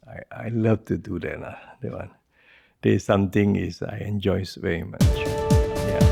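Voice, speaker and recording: Music plays in the background as a man speaks at a moderate pace in a very deep, low pitch. His pitch swings very widely and his loudness shifts in big swings. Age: 60s. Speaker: entrepreneur and presidential hopeful. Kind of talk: interview answer.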